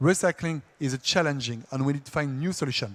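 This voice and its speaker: A man with a French accent, talking very fast. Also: dry, close sound with no echo. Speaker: industry R&D engineer. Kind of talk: conference presentation.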